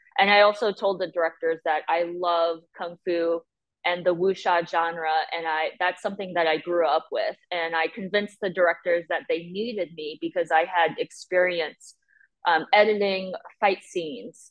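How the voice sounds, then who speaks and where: Speaking with an American accent in a normal speaking voice, a woman keeps a moderate pace, a fairly low pitch and fairly even intonation. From US (emigrated from Chongqing, China at age six). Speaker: film editor. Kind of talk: interview.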